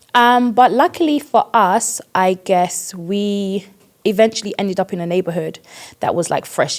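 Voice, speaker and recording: A woman speaks in a British accent at a moderate pace. Her pitch sits in the middle of her range, and her intonation is lively. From East London, England (British Ghanaian). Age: 30s. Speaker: podcast guest, church member. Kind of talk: casual interview.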